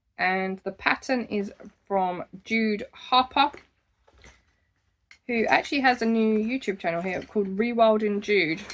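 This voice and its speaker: A woman talks with an Essex accent. Her pace is fairly slow and her intonation lively. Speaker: crochet podcaster. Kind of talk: casual monthly craft vlog.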